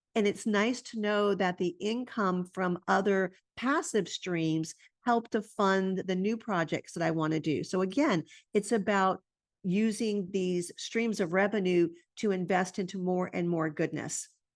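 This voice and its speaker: Speaking fairly slowly with a plain, everyday voice, a woman shows ordinary pitch variation. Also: medium pitch for a woman, quiet background. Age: 60s. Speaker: integrative medicine doctor and entrepreneur. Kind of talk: conference presentation.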